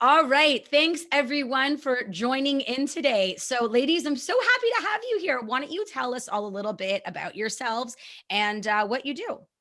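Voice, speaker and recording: A woman with a Canadian accent speaks in a raised, projected voice at a high pitch, moving at a moderate pace with hardly any pauses and very wide pitch swings. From Canada. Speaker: podcast host, mom of three. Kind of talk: casual interview chat.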